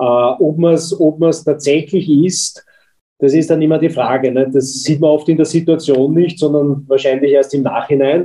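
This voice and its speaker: A man's fairly high-pitched voice, dark and mellow in tone, with fairly even intonation, a moderate pace and very even loudness. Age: 50s. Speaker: company executive. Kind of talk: interview.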